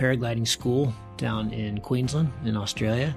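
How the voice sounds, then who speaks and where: Over music in the background, a man speaks at a fairly slow pace, his medium pitch held in fairly even intonation. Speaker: podcast host. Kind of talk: podcast intro.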